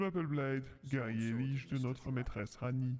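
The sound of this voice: A man puts on a character voice. He speaks at a moderate pace and a medium pitch.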